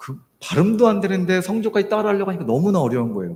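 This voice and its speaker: Very fast pace and very wide pitch swings. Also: man. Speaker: missionary. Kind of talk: sermon. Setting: church. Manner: hesitant, many fillers.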